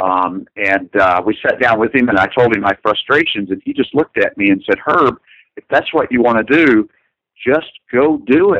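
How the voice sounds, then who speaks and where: An ordinary speaking voice comes through with an American accent, lively intonation and a moderate pace. Loudness stays very even in a dry, close sound with no echo. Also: man, medium pitch for a man. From US South, north central Kentucky. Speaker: animator. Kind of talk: interview.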